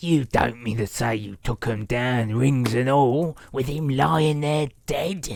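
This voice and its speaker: Using a put-on character voice, a man speaks at a fairly slow pace with hardly any pauses, at a medium pitch with ordinary pitch variation. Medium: read story.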